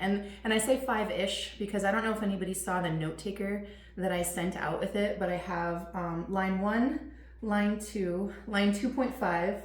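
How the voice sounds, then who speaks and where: A woman with a medium pitch and ordinary pitch variation speaks at a moderate pace, with audible room echo and noticeable background noise. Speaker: teacher running a parenting webinar. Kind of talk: webinar presentation. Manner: many fillers (um, uh).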